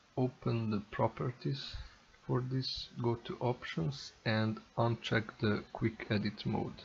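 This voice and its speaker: A man talks at a very slow pace with a non-native accent and a somewhat breathy voice. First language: not English. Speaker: tech tutorial youtuber. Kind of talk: tutorial. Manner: halting.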